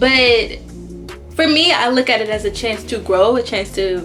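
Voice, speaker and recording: Over music in the background, the voice shows ordinary pitch variation. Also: woman. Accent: American. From Houston, Texas. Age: 20s. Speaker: medical student. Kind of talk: casual talk to camera.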